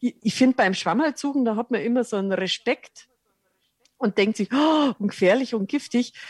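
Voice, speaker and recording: A woman's fairly high voice, an ordinary speaking voice with ordinary pitch variation, at a moderate pace, in a dry, close sound with no echo. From rural Lower Bavaria, Germany. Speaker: cook and wild herb expert. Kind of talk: interview.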